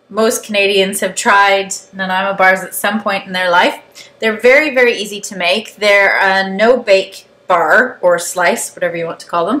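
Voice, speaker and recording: Here a woman speaks at a medium pitch. Background noise is noticeable. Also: ordinary pitch variation, moderate pace. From Canada. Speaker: cooking video host. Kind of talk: tutorial. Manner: casual.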